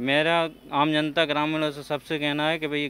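Speaking fairly slowly in a flat monotone, a man is heard in a dry recording with no echo. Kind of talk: interview answer. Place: market. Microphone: handheld.

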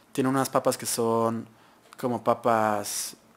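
A man is talking. His intonation is monotone and flat. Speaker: show host. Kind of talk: review commentary. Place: studio. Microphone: studio mic.

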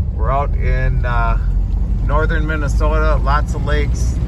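Loud background noise surrounds a fairly slow speaker in a dry recording with no echo. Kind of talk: casual vlog chat. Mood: relaxed, pleased. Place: car. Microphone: phone near.

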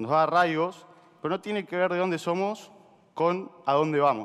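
Speaking at a moderate pace against a quiet background, a man with an Argentine accent has a high-pitched voice. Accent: Rioplatense Argentine Spanish. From Argentina. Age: 20s. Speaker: startup co-founder; speaker. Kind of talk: motivational talk. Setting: stage with audience. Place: stage.

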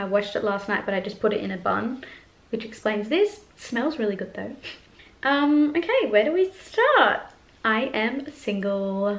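A woman with an Australian accent speaks with big swings in loudness. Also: fairly high pitch for a woman, lively intonation, moderate pace. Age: 20s. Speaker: YouTuber and performer; YouTuber. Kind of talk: casual vlog chat. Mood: warm, chatty, open. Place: home room. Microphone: camera far.

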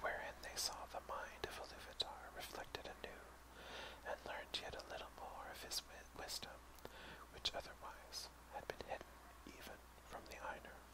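A man whispers at a moderate pace with long, frequent pauses against noticeable background noise. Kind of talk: whispered audiobook-style reading of a fantasy text (ASMR). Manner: whispered.

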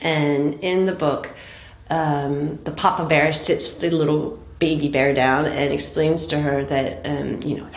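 A woman speaks at a fairly slow pace with a very deep, low pitch. Her intonation is fairly even, and there is audible room echo. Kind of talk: interview answer. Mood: thoughtful, earnest.

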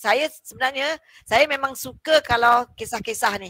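Against a quiet background, a woman uses a bright, sharp tone and fairly even intonation at a fairly slow pace, the sound dry with no echo. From Malaysia. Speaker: lecturer and live talk show host; lecturer, live talk show host. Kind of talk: live talk show. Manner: chatty, with frequent fillers. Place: office.

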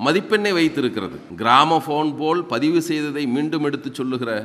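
A man with an unremarkable speaking voice talks at a fairly high pitch with ordinary pitch variation. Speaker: political movement leader. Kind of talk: public speech.

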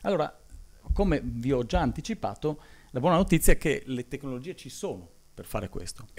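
A man at a fairly quick pace, with very wide pitch swings, big swings in loudness, vocal fry and long, frequent pauses. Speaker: engineering professor, solar materials expert; university lecturer. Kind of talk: conference talk. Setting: conference hall with audience. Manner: hesitant, many fillers; fast. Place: hall. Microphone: podium.

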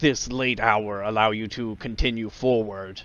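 Putting on a croaky character voice, a man speaks at medium pitch. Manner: stilted, cold and imperious.

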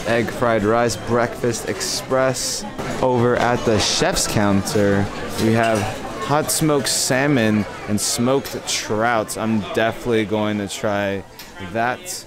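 Over clear music in the background, the voice moves at a very slow pace with ordinary pitch variation, in a dry sound with no echo. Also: man. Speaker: travel vlogger. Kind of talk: casual vlog chat. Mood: upbeat, cheerful. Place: cafe. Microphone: phone near.

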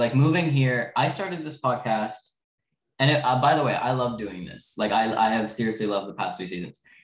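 A man speaks with audible echo from the room. The background is quiet. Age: young. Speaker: podcast co-host, movie fan. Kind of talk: casual chat. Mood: earnest, explaining leaving. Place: home room. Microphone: webcam.

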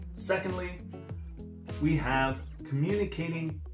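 A man at a very slow pace with clear music in the background. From Canada. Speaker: online English tutor. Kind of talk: promotional self-introduction to camera. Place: home room.

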